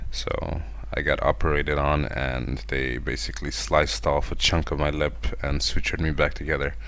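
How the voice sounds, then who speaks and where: A man's very deep, low voice at a fairly quick pace, ordinary pitch variation, audible room echo and noticeable background noise. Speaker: artist narrating drawing video. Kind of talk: tutorial. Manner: halting.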